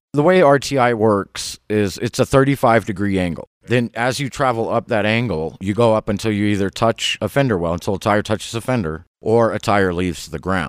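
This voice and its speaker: A man with an ordinary speaking voice talks at a fairly quick pace with a fairly low pitch, lively intonation, and hardly any pauses. The recording is very clean with a silent background, and the sound is dry and close with no echo. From southern Ohio. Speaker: auto repair shop owner. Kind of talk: casual interview.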